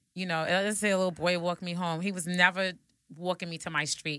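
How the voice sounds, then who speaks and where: Fairly quick female speech with a New York accent, fairly low in pitch, with a bright, sharp tone. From Brooklyn, New York (Bed-Stuy). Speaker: podcast host. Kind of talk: casual chat. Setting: studio.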